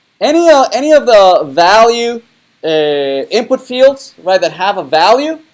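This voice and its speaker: Speaking at a moderate pace with a non-native accent, a man lets his pitch swing very widely. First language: not English. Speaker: university web development lecturer. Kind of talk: lecture. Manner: halting, many fillers.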